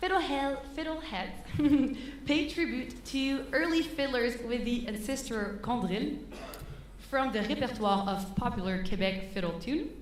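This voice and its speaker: A woman with a strong French accent, high in pitch, at a fairly slow pace, with audible room echo and noticeable background noise. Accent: thick French. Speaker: concert MC. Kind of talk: stage announcement. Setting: stage with audience. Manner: halting.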